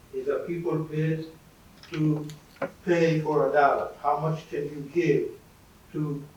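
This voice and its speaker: Noticeable background noise runs through the clip. Audible room echo is also present. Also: man. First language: not English. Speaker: former student. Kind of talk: panel talk.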